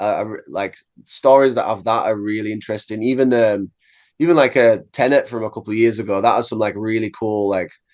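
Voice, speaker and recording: Against a quiet background, a man with an English accent talks with fairly even intonation. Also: medium pitch for a man, fairly quick pace. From England. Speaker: metal musician. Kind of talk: casual interview.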